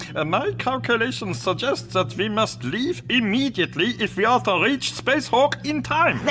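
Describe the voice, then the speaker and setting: A man performs in a put-on character voice. He keeps a moderate pace over clear background noise. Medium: audio drama. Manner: fussy, calculating.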